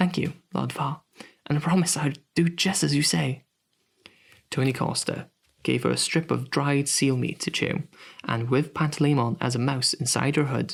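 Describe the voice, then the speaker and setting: Showing vocal fry, a man with a fairly high pitch speaks at a moderate pace, his pitch varying in an ordinary way. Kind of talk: sleep story.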